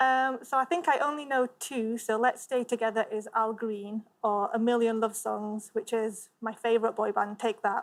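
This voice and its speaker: A woman with a Yorkshire accent, fairly high pitch, fairly even intonation, a moderate pace with hardly any pauses, and a very clean recording with a silent background. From Leeds, northern England. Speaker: quiz show contestant, clinical engineer. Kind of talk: casual chat.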